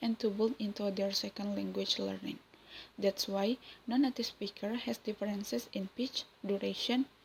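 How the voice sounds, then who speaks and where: With an Indonesian accent, a woman speaks in a somewhat breathy voice with fairly even intonation. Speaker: university student. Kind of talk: class presentation.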